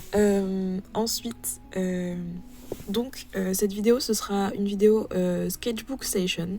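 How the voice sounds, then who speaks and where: A woman's medium-pitched voice at a very slow pace, fairly even intonation, and noticeable background noise. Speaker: art youtuber. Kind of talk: casual chat. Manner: hesitant, many fillers.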